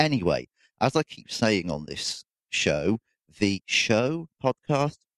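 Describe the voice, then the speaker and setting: A man with a British accent speaks in a fairly low voice with very wide pitch swings. The sound is dry and close, with no echo. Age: 40s. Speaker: podcast host. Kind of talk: casual solo monologue. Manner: hesitant, with fillers.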